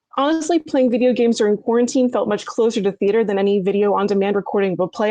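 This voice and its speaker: A woman's fairly high voice with a dark, mellow tone and ordinary pitch variation. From US East Coast. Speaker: experimental theatre-maker. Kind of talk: prepared talk. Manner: fast.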